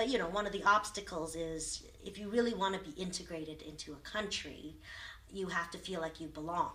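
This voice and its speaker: A woman's bright, sharp voice at a fairly low pitch, moving at a fairly quick pace amid audible room echo. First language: Vietnamese. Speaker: lawyer, refugee interviewee. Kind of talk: oral history interview.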